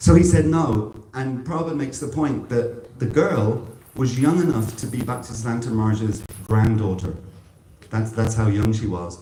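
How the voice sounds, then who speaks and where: A man with a medium pitch talks with audible room echo while noticeable background noise continues behind him. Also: ordinary pitch variation, moderate pace. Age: 60s. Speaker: devotional speaker. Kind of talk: religious talk. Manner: halting.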